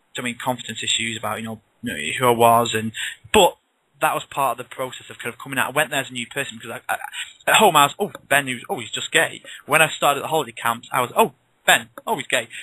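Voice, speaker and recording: Speaking very fast with a northern English accent, a man has a medium pitch and a bright, sharp tone. His loudness swings widely, while his pitch variation is ordinary. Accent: northern English, noticeable in the south. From northwest England. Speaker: author. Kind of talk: interview. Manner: casual, chatty with many restarts.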